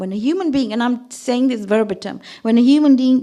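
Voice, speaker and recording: A woman's high-pitched voice, dark and mellow in tone, with ordinary pitch variation. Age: 60s. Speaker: religious speaker (zakira). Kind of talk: sermon.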